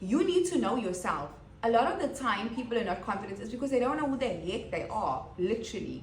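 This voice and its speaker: With very wide pitch swings, the speaker talks at a fairly quick pace amid noticeable background noise and audible room echo. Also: woman, fairly high pitch for a woman. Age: 30s. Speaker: podcast host. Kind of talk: motivational monologue. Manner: casual, conversational.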